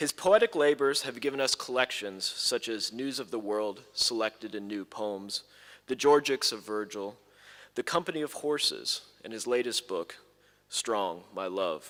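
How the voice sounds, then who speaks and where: The recording is very clean, with a silent background. A man at medium pitch talks at a moderate pace with lively intonation, in an ordinary speaking voice. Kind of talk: formal introduction of a speaker.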